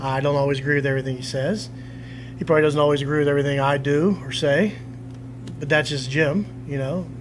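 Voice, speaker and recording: Amid noticeable background noise and audible room echo, a man with a fairly high pitch speaks at a very fast pace, using fairly even intonation and long, frequent pauses. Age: 40s. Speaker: pro wrestler. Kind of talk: interview. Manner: halting.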